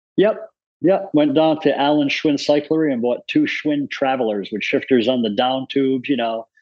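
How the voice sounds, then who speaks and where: Using a normal speaking voice, a man with an American accent speaks at a moderate pace and fairly high pitch with ordinary pitch variation. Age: 60s. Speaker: amateur cyclist. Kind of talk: casual chat.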